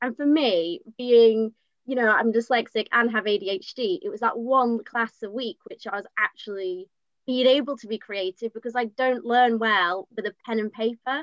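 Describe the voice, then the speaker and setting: A woman's fairly high voice with a Yorkshire accent and ordinary pitch variation. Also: moderate pace. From Leeds, West Yorkshire. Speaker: drama student. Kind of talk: online panel discussion.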